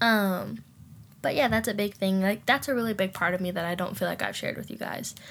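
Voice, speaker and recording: At a very fast pace, a woman speaks in a somewhat breathy voice. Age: 20s. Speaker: podcast host. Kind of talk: casual chat. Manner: animated.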